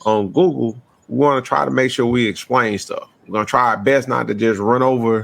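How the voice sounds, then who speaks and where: With a Southern US accent, a man speaks at a moderate pace in a medium pitch, using ordinary pitch variation. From US South. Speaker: podcast host. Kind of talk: casual podcast chat. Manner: laid back.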